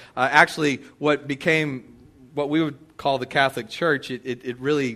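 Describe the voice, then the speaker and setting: A man speaks with an American accent in a bright, sharp tone. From Texas. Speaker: pastor. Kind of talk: sermon. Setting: church. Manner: halting, many repeated words.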